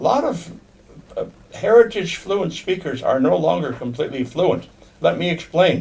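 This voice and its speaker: At a fairly slow pace, a man with an American accent speaks with very wide pitch swings. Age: 80s+. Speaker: Potawatomi language elder and teacher. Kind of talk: informal monologue to language learners. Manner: halting, repeats words.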